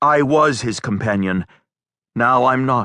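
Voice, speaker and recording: A man puts on a character voice at a medium pitch, talking fairly slowly in a dry, close sound with no echo. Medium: read story.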